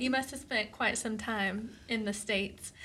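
A woman's pitch moves in an ordinary way while noticeable background noise carries on behind her. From Eastern Kentucky. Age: 30s. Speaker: podcast host. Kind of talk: casual interview conversation.

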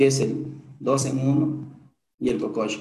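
A man of medium pitch speaks with a dark, mellow tone and vocal fry, with audible echo in the room. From Peru, Huancabamba (Piura highlands). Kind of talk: motivational testimony. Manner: animated.

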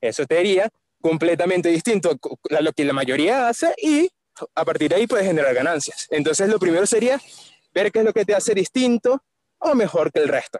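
This man talks at a fairly quick pace in a Venezuelan accent, his voice high and his intonation lively. His loudness stays very even. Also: dry, close sound with no echo. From Caracas, Venezuela. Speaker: marketer and musical theatre actor. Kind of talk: casual interview chat. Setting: outdoors on the street, remote call.

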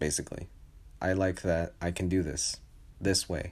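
Against a silent background, the recording is very clean. Dark and mellow, the voice's tone comes through. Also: man. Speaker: solo personal podcaster. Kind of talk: personal confessional monologue. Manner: halting, many pauses and repetitions.

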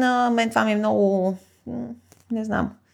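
A normal speaking voice with lively intonation moves at a moderate pace over a very clean recording with a silent background. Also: woman. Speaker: poet and podcast co-host. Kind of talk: casual chat.

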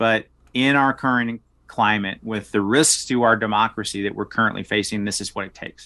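Against a quiet background, a man of medium pitch speaks at a fairly quick pace in an American accent. His intonation is fairly even, while his loudness swings a lot. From US South (South Arkansas). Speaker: political candidate. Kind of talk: podcast interview.

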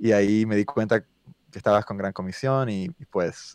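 Against a quiet background, a man speaks at a medium pitch with ordinary variation, the sound dry and close with no echo. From US South. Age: 30s. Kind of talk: casual chat.

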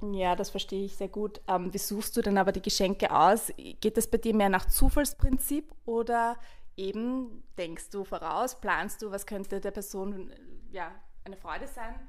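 With a plain, everyday voice, a woman speaks at a moderate pace and medium pitch, with ordinary pitch variation. Her loudness swings widely. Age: 30s. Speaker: podcast host. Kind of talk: casual chat.

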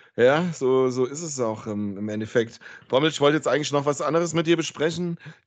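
A man speaks in a plain, everyday voice at a fairly high pitch. His pace is fairly quick, with ordinary pitch variation. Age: 40s. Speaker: podcast host. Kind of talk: casual chat.

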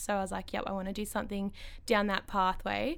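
A woman with an Australian accent, medium pitch, a fairly quick pace, and a very clean recording with a silent background. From Ballarat, Victoria, Australia. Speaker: eyebrow salon owner. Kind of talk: casual interview chat. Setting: studio.

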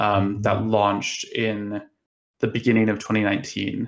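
Recorded very cleanly against a silent background, a man with an American accent speaks at a fairly slow pace in a fairly low pitch with monotone, flat intonation. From United States. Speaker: online forum moderator. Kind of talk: podcast interview.

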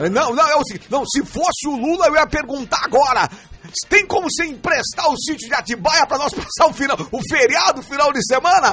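A man in an animated tone raises and projects his voice at an extremely high pitch, speaking at a moderate pace with ordinary pitch variation over noticeable background noise. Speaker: radio host and pastor. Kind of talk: casual radio show chat; read-out ads.

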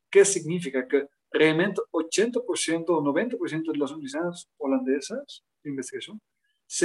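The voice has a Dutch accent and ordinary pitch variation, with a dry, close sound and no echo. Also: man. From Netherlands, near Utrecht. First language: Dutch (speaking Spanish). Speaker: international education expert. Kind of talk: interview.

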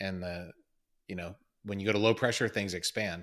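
Speaking with an American accent, a man uses an unremarkable speaking voice, fairly low in pitch, with fairly even intonation and a moderate pace. The recording is very clean, with a silent background. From Maryland. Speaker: astronaut. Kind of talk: casual interview.

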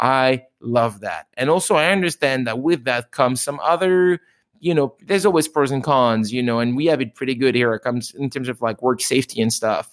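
Animated in tone, a speaker with a French accent talks at a fairly quick pace. The sound is dry and close with no echo, on a very clean recording with a silent background. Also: man, medium pitch for a man, ordinary pitch variation, hardly any pauses. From France. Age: 30s. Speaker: restaurant owner. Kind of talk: interview.

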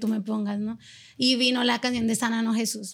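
Speaking at a fairly quick pace, a woman keeps her voice moving. Her intonation stays monotone and flat. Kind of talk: casual interview chat.

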